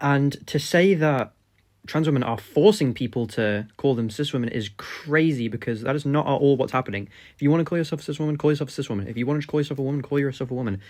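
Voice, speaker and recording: Speaking at a very fast pace, a man with an English accent uses a fairly high pitch and ordinary pitch variation. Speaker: political commentary YouTuber. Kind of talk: reaction commentary. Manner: unscripted, halting with fillers. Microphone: cheap microphone.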